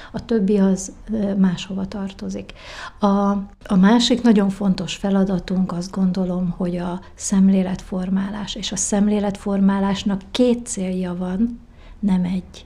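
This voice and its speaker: A woman speaks at a fairly slow pace and medium pitch, her intonation monotone and flat. Her tone is dark and mellow, and somewhat breathy. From Hungary, Várpalota. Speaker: president of association for the visually impaired. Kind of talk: interview.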